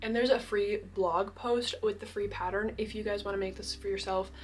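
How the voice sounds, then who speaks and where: A woman speaks quietly with music in the background. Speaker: crochet vlogger. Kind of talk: casual vlog talk. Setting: indoors in a mountain cabin. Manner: excited, animated.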